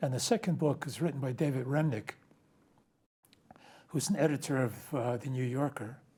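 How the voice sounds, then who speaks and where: A somewhat breathy man at a medium pitch, dark and mellow in tone, with ordinary pitch variation and a moderate pace. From New Jersey, US (Ukrainian community in Newark). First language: Ukrainian. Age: 80s+. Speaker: retired accountant, guest. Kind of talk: interview conversation. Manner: halting, many fillers.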